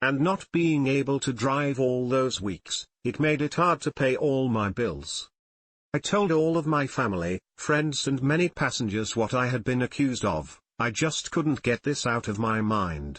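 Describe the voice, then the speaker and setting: A man speaks fairly slowly in an unremarkable speaking voice at a medium pitch. His intonation is lively and his loudness very even. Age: 60s. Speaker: rideshare driver. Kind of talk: personal commentary monologue.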